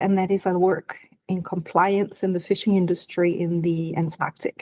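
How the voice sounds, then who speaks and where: In a Danish accent, a woman talks at a moderate pace with a medium pitch. Her tone is dark and mellow, and the sound is dry and close with no echo. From Denmark. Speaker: marine scientist. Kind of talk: interview. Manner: halting.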